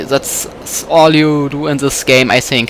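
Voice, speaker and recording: A man with a German accent and a fairly high pitch, at a fairly slow pace with ordinary pitch variation, over noticeable background noise. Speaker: gamer playing a video game. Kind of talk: let's play commentary. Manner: halting.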